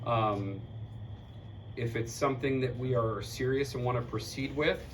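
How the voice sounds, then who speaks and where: A man's monotone, flat delivery amid audible room echo. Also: medium pitch for a man, moderate pace. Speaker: community board member presenting at meeting. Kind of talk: community meeting discussion. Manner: loud.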